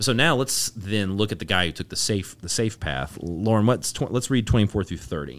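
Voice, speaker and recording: On a very clean recording with a silent background, a man with a fairly low pitch and vocal fry talks at a fairly quick pace with lively intonation and hardly any pauses. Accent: American. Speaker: podcast host, church-related. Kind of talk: casual Bible discussion.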